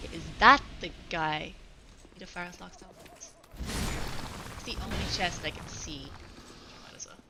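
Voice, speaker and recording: A woman at a very slow pace, with long, frequent pauses, big swings in loudness, audible room echo and noticeable background noise. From Ireland. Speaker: video game streamer. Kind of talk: casual chat while gaming on a live stream.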